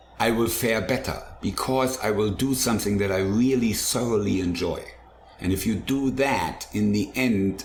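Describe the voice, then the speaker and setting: Over noticeable background noise and audible room echo, a man speaks. His pace is moderate, his pitch variation ordinary. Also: very even loudness. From Germany. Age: 60s. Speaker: chef and food truck owner. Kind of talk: casual interview.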